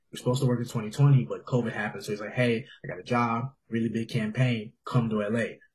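A man of medium pitch speaks at a very fast pace in a somewhat breathy voice. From Houston, Texas. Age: 20s. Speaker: photographer. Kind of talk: casual chat. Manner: animated.

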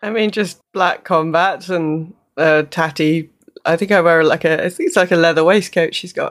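A woman with a British accent speaks at a moderate pace in a fairly low voice with fairly even intonation, in a very clean recording with a silent background. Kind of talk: tabletop roleplaying game, casual chat.

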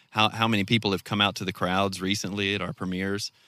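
A man with a Southern US accent and a bright, sharp tone, on a very clean recording with a silent background. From North Mississippi. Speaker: filmmaker and fly fisherman. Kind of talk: casual interview chat. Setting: outdoors.

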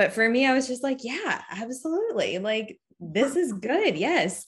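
A woman with a normal speaking voice talks at a fairly slow pace, her intonation lively. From Massachusetts (Cape Cod). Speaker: sex educator and tarot reader. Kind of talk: casual interview.

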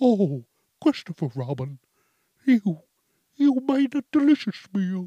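A put-on character voice at a fairly high pitch swings very widely in pitch, moving at a fairly slow pace with long, frequent pauses. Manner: bloated, content.

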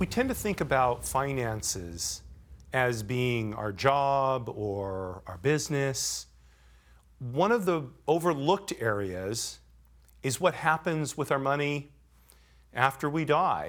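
At a very slow pace, a man with a Californian accent talks at medium pitch with lively intonation. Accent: Californian American. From Los Angeles. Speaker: podcast host. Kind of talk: interview.

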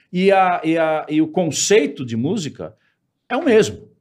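In a very clean recording with a silent background, a man speaks fairly slowly at a fairly high pitch. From São Paulo, Brazil. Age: 50s. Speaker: musician. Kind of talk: casual interview chat.

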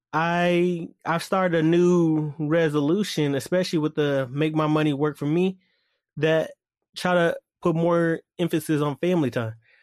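Speaking in an unremarkable speaking voice, a man with a fairly high pitch keeps a moderate pace, fairly even intonation and very even loudness, recorded with a dry, close sound with no echo against a quiet background. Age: 20s. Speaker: podcast host. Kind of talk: casual monologue.

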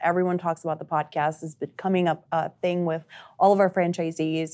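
Over a quiet background, a woman with a fairly low pitch talks at a moderate pace. Her intonation stays monotone and flat. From Uruguay. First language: Spanish. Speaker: marketing director. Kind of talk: casual interview.

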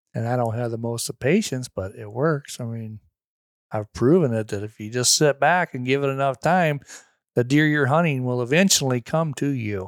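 A man with a plain, everyday voice and an American accent speaks at a medium pitch and moderate pace, in a very clean recording with a silent background and a dry, close sound with no echo. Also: ordinary pitch variation. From Missouri, near St. Louis. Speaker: hunter and landowner. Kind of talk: casual chat. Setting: at guest's home property.

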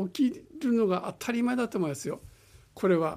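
Recorded very cleanly against a silent background, a man's high-pitched voice has a dark, mellow tone and lively intonation. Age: 80s+. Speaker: private pilot and volunteer dance teacher. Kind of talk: radio interview.

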